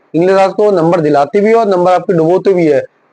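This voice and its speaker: This man has a high pitch and a dark, mellow tone. He keeps a moderate pace with ordinary pitch variation. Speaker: ex-serviceman and banking exam coach. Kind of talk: exam guidance video.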